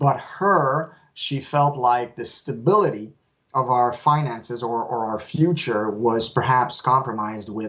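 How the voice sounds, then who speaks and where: A man speaks with a Quebec accent and ordinary pitch variation. His voice is somewhat breathy. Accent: French Canadian accent in English. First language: French. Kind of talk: interview. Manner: halting, with repeats and fillers.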